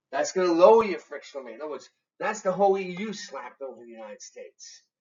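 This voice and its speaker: Someone with a Massachusetts accent speaks at a very fast pace. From Massachusetts, New England. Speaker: economics professor. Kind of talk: lecture. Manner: conversational, with many fillers.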